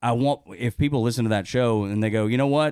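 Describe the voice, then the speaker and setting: A man with a strong Southern US accent, medium pitch and a fairly quick pace, in a dry, close sound with no echo. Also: very clean recording, silent background. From US South, northwest Georgia (Dalton). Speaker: radio host. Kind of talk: casual chat. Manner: halting.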